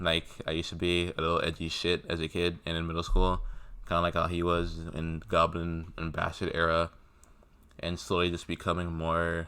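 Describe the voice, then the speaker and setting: Here a man with a very deep, low pitch talks at a fairly quick pace in a bright, sharp tone. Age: young. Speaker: music fan vlogger. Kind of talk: casual monologue vlog. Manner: monotone.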